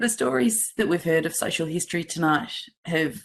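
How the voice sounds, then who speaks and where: A woman speaks with lively intonation in an Australian accent. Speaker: city councillor. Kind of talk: council meeting debate.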